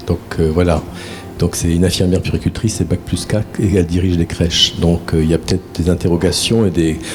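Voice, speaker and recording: Against noticeable background noise, a man talks at a fairly quick pace in a very deep, low pitch with monotone, flat intonation. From northern France, near Valenciennes. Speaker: therapist and trainer, conference speaker. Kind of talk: conference talk. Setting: conference with live audience. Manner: conversational, with many fillers.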